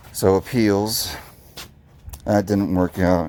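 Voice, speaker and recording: Through noticeable background noise comes a man's very deep, low voice, flat and monotone. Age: 30s. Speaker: vlogger. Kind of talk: casual vlog monologue. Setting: outdoors doing yard work. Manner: halting, repetitive.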